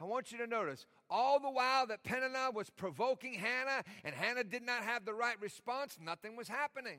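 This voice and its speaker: The tone is bright and sharp. It is delivered in a raised, projected voice. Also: man. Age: 50s. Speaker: pastor. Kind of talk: sermon. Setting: church.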